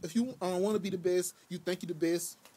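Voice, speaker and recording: Here a man talks at a moderate pace in a high pitch with a dark, mellow tone. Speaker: YouTuber giving card game advice. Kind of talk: casual vlog talk. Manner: halting, many fillers.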